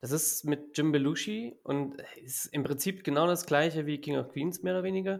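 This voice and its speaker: A normal speaking voice with ordinary pitch variation proceeds at a moderate pace, recorded very cleanly against a silent background. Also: man, fairly high pitch for a man. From Hesse, Germany (Gießen area). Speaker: football fan club board member. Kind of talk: casual chat.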